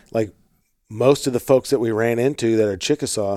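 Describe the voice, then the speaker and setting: A man speaks in an ordinary speaking voice at a medium pitch, with ordinary pitch variation, an American accent, and a dry, close sound with no echo. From US Midwest, St. Louis, Missouri. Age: 30s. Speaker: podcast host. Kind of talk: casual interview conversation. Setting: in the guest's house in Oklahoma.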